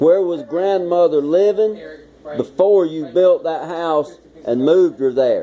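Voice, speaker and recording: A man speaks at a fairly slow pace with a high pitch. His pitch varies normally over noticeable background noise. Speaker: son interviewing his father. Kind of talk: interview questions to elderly parent.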